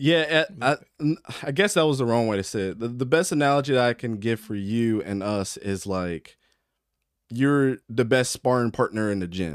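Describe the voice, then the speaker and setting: In a plain, everyday voice, a man talks at a moderate pace and medium pitch with lively intonation. The sound is dry and close with no echo, in a very clean recording over a silent background. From Baltimore, Maryland. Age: 30s. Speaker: football podcast host. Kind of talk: casual chat.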